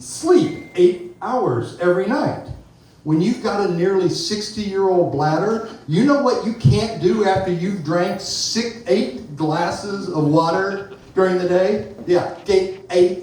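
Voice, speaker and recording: A man speaks at a fairly slow pace with a high pitch and ordinary pitch variation. Noticeable background noise and audible room echo fill the recording. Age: 50s. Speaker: amateur stand-up comedian. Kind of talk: stand-up. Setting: stage with audience.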